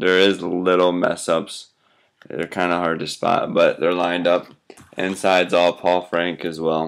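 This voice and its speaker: A man speaks at a very deep, low pitch in a monotone, flat intonation. His pace is fairly slow over a quiet background. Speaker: crafter showing handmade duct tape wallets for sale. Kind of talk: casual product showcase. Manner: casual, chatty. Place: home room. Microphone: webcam.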